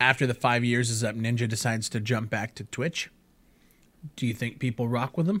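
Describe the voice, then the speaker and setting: At a fairly quick pace, a man with a plain, everyday voice speaks at medium pitch with fairly even intonation. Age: 20s. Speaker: gaming podcast host and streamer. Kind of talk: casual chat.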